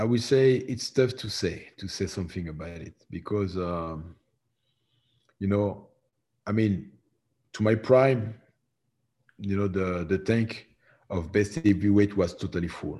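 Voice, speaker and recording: With a dark, mellow tone and fairly low pitch, a man talks at a moderate pace, showing ordinary pitch variation, big swings in loudness, and long, frequent pauses. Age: 40s. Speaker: professional MMA heavyweight fighter. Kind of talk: interview. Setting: remote call from home.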